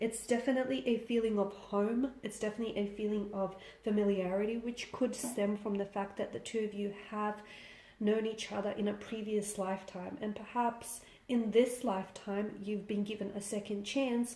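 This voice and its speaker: A woman's fairly high voice, fairly even in intonation, keeps a moderate pace over noticeable background noise. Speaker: tarot reader. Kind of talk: tarot reading.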